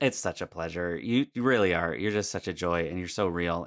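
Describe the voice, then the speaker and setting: On a very clean recording with a silent background, a man's very deep, low voice comes through dry and close with no echo. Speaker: speaking and storytelling coach. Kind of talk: podcast interview.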